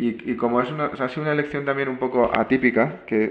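Fairly quick in pace, a man speaks with fairly even intonation. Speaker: program host. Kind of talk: interview conversation. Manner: halting.

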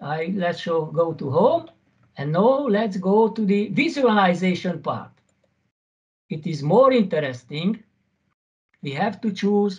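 Very slow delivery with long, frequent pauses and lively intonation, the background quiet. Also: man, high pitch for a man. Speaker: university lecturer; conference presenter, university teacher. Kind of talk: conference presentation. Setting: video call. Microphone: video call.

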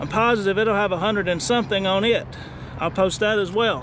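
A man talks fairly quickly in a high voice with fairly even intonation. The sound is dry with no echo, and there is noticeable background noise. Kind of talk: casual show-and-tell commentary. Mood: proud, slightly defensive. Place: open country. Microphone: phone near.

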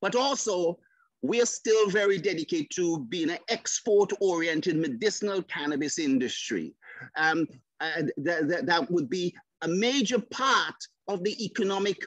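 The background is quiet, and the sound is dry with no echo. A man speaks at a fairly slow pace with a high pitch. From St Vincent and the Grenadines. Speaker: government regulator. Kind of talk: prepared presentation. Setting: video call. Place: home room. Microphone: video call.

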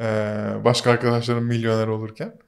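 A man is speaking. His pace is fairly quick. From Turkey, Muğla (born Ankara). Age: 30s. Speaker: media startup co-founder. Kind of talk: casual interview. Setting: studio.

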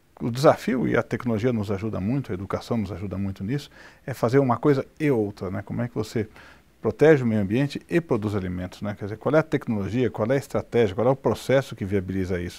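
The tone is dark and mellow, with ordinary pitch variation. The pace is very fast. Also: man, fairly low pitch for a man. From Brazil. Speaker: business executive; interviewee. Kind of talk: interview. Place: studio. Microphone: lapel.

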